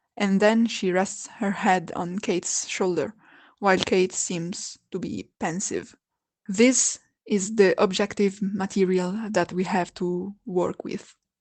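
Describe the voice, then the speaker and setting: A woman at medium pitch with a non-native accent, very slow pace, fairly even intonation, and a quiet background. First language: not English. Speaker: video essayist. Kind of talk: video essay narration.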